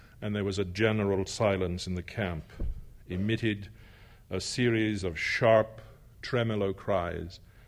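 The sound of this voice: An unforced reading voice, its intonation held fairly even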